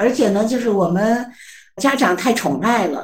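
A somewhat breathy woman speaks at a moderate pace amid audible room echo. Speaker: psychology professor. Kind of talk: interview. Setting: remote video interview.

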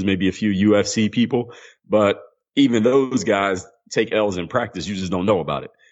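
A fairly low-pitched male voice in an American accent. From US, Philadelphia. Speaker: former pro basketball player and mental toughness coach. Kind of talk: interview.

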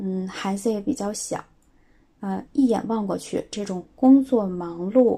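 At a fairly slow pace, a woman with a medium pitch and a dark, mellow tone speaks somewhat breathily, with ordinary pitch variation. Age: 30s. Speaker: schoolteacher. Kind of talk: recorded voice submission answering questions.

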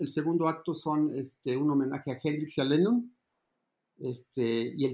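A man's speech moves at a moderate pace, with ordinary pitch variation. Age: 60s. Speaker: advertising creative and musician. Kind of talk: interview. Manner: halting, many repetitions and fillers.

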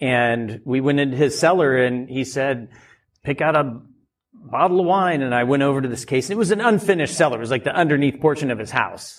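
A normal speaking voice with an American accent moves along at a fairly quick pace. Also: man, fairly high pitch for a man, ordinary pitch variation. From rural Oregon. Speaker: winemaker and winery owner. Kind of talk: live podcast interview. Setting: live event with audience.

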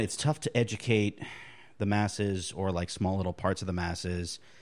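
In a very clean recording over total silence, an unremarkable speaking voice proceeds at a medium tempo. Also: man. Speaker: podcast guest. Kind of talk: casual chat.

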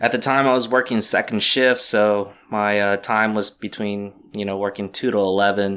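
A man speaks in a plain, everyday voice, pitched fairly low. The recording is very clean, with a silent background. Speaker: pinball lounge owner. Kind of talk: casual interview.

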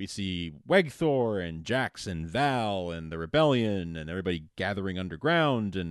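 In a quiet background, a man with a very deep, low pitch speaks with lively intonation. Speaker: podcast host. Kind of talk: casual podcast recap chat. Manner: jokey, laughing often.

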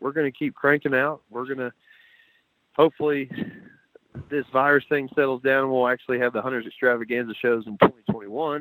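A man's medium-pitched voice in a dry, close sound with no echo. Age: 30s. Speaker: owner of a hunting blind company. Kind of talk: casual interview.

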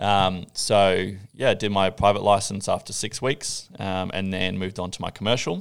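Speaking with an Australian accent, a man keeps a moderate pace with hardly any pauses, a fairly low pitch and fairly even intonation. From Australia, Gold Coast. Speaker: coffee judge. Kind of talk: casual chat.

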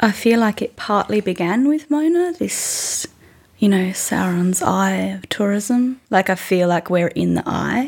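A woman speaks in an Australian accent. Her pace is fairly slow. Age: 20s. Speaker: musician. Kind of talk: interview. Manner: halting.

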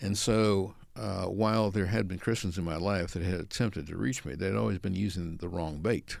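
With an American accent, a man speaks in a very deep, low voice with vocal fry, at a moderate pace with hardly any pauses and ordinary pitch variation. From San Francisco Bay Area, US. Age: 70s. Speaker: creation science speaker, apologist. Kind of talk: interview conversation.

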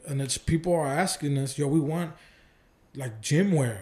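A man in an American accent speaks at a moderate pace with a fairly high pitch and a somewhat breathy quality. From Oakland, California. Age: 20s. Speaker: evangelist and ministry founder. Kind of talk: casual chat.

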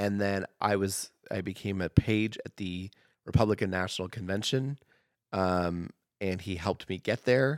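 In an American accent, a plain, everyday voice speaks at a moderate pace with fairly even intonation. The recording is very clean and dry, close with no echo, over a silent background. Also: man, fairly low pitch for a man. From Oregon, US. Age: 30s. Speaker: comedian and newspaper writer. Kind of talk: casual chat.

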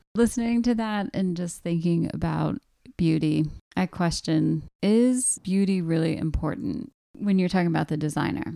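Using a normal speaking voice, a woman talks at a moderate pace with a fairly low pitch and lively intonation. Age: 40s. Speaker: podcast host. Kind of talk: casual conversation.

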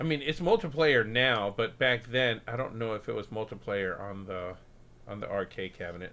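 This man talks at a moderate pace in an American accent, with a medium pitch and ordinary pitch variation. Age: 50s. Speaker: podcast host and former Spanish teacher. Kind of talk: casual chat. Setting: livestream with video. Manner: animated.

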